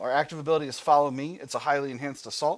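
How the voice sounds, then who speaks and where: A man with an American accent and a fairly high voice talks very fast. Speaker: gaming video creator. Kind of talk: let's play commentary with reading aloud. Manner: casual with frequent fillers.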